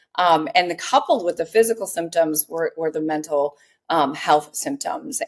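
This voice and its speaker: This woman has a plain, everyday voice with a fairly low pitch. She speaks at a moderate pace. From US Midwest. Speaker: health company co-founder. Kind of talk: podcast interview.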